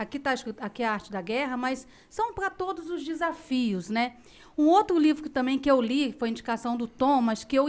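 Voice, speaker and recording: A woman with a high pitch speaks at a moderate pace. The recording is very clean, with a silent background. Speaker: podcast host and company executive. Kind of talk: casual chat. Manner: firm; dry.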